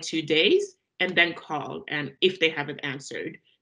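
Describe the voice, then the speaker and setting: Her voice sits at a fairly low pitch for a woman, with a bright, sharp tone. She speaks at a moderate pace. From French-speaking country. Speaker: career coach. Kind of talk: online seminar.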